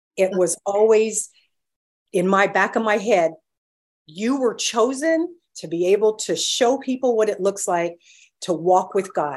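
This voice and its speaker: Her pitch is medium and her intonation lively as this woman talks at a fairly slow pace with long, frequent pauses. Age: 60s. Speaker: breast cancer survivor. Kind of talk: testimony.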